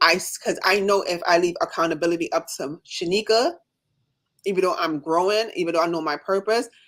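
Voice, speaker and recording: A very fast, animated woman's voice, fairly low in pitch, with ordinary pitch variation and a slight Jamaican accent. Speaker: nurse and coaching client. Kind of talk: casual chat on a livestream.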